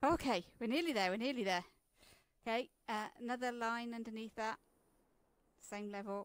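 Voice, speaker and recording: A woman's fairly high voice at a moderate pace, with ordinary pitch variation and long, frequent pauses, in a very clean recording with a silent background. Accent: British. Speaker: coding tutor guiding another person. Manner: patient, instructive.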